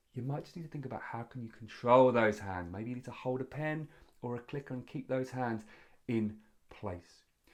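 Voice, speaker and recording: On a very clean recording with a silent background, a man talks at medium pitch. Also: ordinary pitch variation. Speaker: public speaking coach. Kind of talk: tutorial. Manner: fast.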